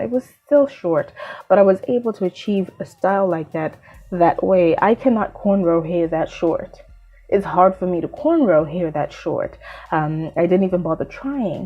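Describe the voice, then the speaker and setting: With music in the background, a woman with a Zimbabwean accent speaks at a moderate pace and medium pitch, using ordinary pitch variation. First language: Shona. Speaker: beauty vlogger. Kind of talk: casual vlog talk.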